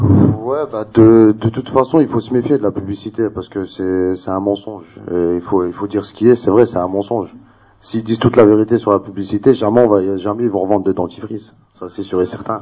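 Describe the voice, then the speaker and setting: A man with an ordinary speaking voice goes along fairly quickly, his fairly low pitch held in fairly even intonation. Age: 20s. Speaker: debate participant. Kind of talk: public debate.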